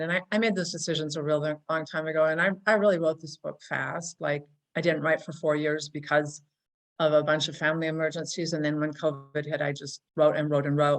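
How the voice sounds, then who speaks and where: A woman's very deep, low pitch, monotone and flat in intonation, at a fairly quick pace. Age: 60s. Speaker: writer. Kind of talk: interview conversation. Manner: halting with repetitions.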